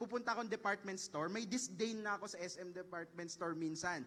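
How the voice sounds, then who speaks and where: In a Filipino accent, a man speaks very fast in a raised, projected voice, his tone animated, bright and sharp, with ordinary pitch variation. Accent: Filipino English, Taglish. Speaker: professor. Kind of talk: lecture.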